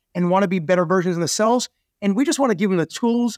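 In a New York accent, the speaker talks at a very fast pace with ordinary pitch variation, the sound dry and close with no echo in a very clean recording with a silent background. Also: man. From US Northeast, Queens, New York. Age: 50s. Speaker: entrepreneur. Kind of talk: interview.

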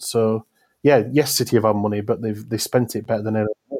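Speaking fairly quickly with a South Yorkshire accent, a man has a fairly low, dark, mellow voice with monotone, flat intonation and a dry, close sound with no echo. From South Yorkshire, England. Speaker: football journalist. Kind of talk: casual chat.

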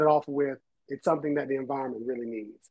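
In an American accent, a man speaks at a medium pitch with ordinary pitch variation in a plain, everyday voice. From Eastern North Carolina (New Bern). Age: 30s. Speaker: botanist. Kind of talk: casual interview chat.

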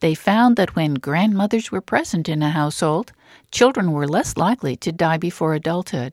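A woman with a plain, everyday voice speaks at a moderate pace with lively intonation and a fairly low pitch, recorded very cleanly against a silent background with a dry, close sound and no echo. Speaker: radio host. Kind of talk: interview.

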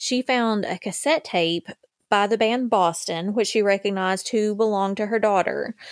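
On a very clean recording with a silent background, a woman with an Appalachian accent speaks at a medium pitch with ordinary pitch variation. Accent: Appalachian Southern US. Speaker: true crime podcast host. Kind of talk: scripted narration and casual chat.

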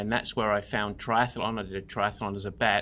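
A man's bright, sharp voice at a moderate pace, on a very clean recording with a silent background. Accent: English. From England. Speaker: endurance coach. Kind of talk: interview.

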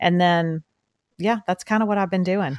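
A woman with a Southeast Texas accent talks at a fairly quick pace. The recording is very clean, with a silent background and a dry, close sound with no echo. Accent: Southeast Texas Southern. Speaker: podcast co-host. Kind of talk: casual chat. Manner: fast talker.

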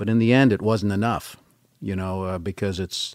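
This man has an American accent and a very deep, low pitch. The recording is very clean, with a silent background. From US West Coast, San Francisco Bay Area. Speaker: computer scientist. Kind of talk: casual chat.

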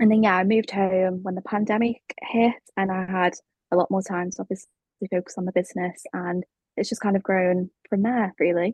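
A somewhat breathy woman at medium pitch, with fairly even intonation and a fairly quick pace. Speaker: brand and web designer, studio founder. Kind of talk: casual interview chat. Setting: remote call.

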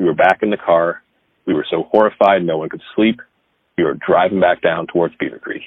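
A man speaking at a moderate pace. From Dayton, Ohio. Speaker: storyteller. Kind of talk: ghost story telling.

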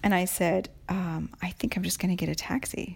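With an American accent, a woman speaks somewhat breathily at medium pitch and a moderate pace, in a very clean recording with a silent background. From United States. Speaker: podcast co-host and writer. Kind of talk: casual chat.

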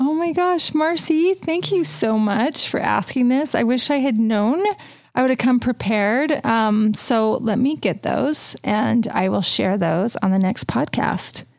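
A woman with a fairly high pitch speaks at a fairly slow pace, her pitch swinging very widely while her loudness stays very even. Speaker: interior design podcast host. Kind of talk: casual chat.

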